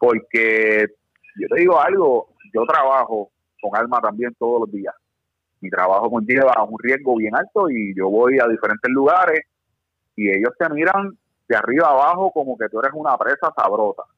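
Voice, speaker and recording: A plain, everyday voice from a man of medium pitch, with lively intonation at a moderate pace. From Puerto Rico. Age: 30s. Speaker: firearms instructor. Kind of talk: casual chat.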